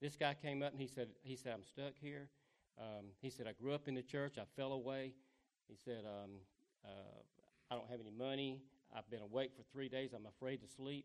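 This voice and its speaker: A man at a moderate pace and medium pitch, with a Southern US accent. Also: fairly even intonation. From US South. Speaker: street evangelist. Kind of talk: testimony.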